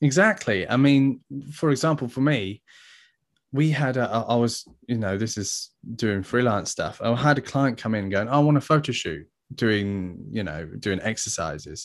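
In an unremarkable speaking voice, a man talks at a medium pitch and moderate pace with lively intonation against a quiet background. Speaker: graphic design agency owner. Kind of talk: casual interview chat.

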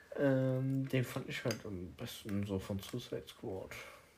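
Amid noticeable background noise, a man talks at a very slow pace with ordinary pitch variation. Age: 30s. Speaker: podcast host. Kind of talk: casual chat. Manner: animated.

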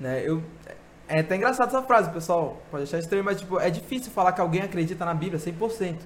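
Lively intonation marks this man's speech. His pitch is high and his pace fairly quick. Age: 20s. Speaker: church speaker and thinker. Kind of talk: casual interview chat.

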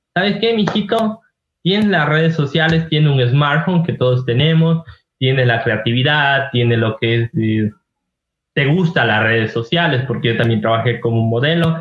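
With very even loudness and lively intonation, a man talks in a normal speaking voice at a moderate pace and a fairly high pitch. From Ecuador, Ibarra (Imbabura). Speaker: travel content creator. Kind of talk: casual interview chat.

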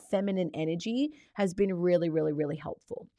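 An animated woman with an Australian accent, lively intonation and a moderate pace, in a very clean recording with a silent background. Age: 30s. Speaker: podcast host, life coach. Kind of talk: solo podcast monologue.

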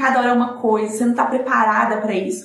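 Noticeable background noise and audible room echo accompany a woman with a high pitch talking at a very fast pace. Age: 20s. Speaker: young mother and advertising graduate, COVID survivor. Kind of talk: testimony in casual live-stream chat.

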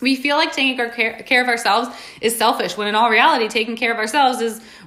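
Someone talks at a very fast pace with an American accent over noticeable background noise. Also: woman. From New York. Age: 20s. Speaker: fitness coach and podcast host. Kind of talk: casual motivational monologue. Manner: animated.

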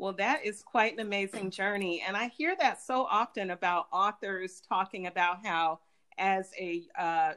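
Set against a silent background on a very clean recording, a woman speaks in a normal speaking voice. Her pitch is medium and her pace fairly slow. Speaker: podcast host. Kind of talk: interview.

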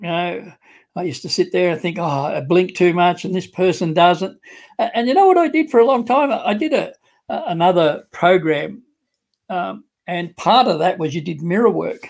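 A man speaks at a high pitch and a moderate pace, his intonation lively. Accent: Australian. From Australia. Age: 60s. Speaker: online business entrepreneur. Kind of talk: interview testimony. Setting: video call.

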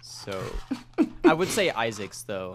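The pace stays moderate as a man talks. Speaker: podcast co-host.

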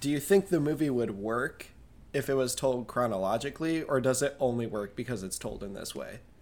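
A man's plain, everyday voice, a plain, everyday voice at medium pitch, with a fairly quick pace and lively intonation. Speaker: podcast co-host. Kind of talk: casual chat.

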